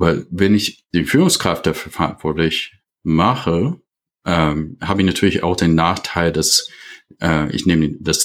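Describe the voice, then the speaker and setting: A man with a very deep, low pitch speaks at a very slow pace with ordinary pitch variation. The recording is very clean, with a silent background. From USA. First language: English (speaking German). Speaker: leadership consultant. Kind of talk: podcast interview. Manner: halting, many fillers.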